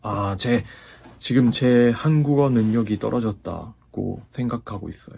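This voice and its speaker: At a very slow pace, a man with a slight Japanese accent talks at medium pitch with ordinary pitch variation. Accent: slight Japanese accent in Korean. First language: Japanese (speaking Korean). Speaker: YouTuber and Korean language learner. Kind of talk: casual vlog talk. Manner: halting, self-correcting.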